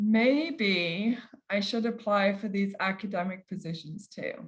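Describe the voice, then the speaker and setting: Her voice carries a somewhat breathy quality. She is a woman talking. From England. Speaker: kinesiology professor. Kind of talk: lecture.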